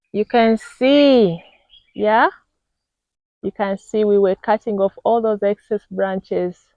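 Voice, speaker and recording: A woman with a Ugandan accent talks at a fairly slow pace. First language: Luganda. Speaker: vlogger. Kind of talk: casual video tour. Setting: outdoors.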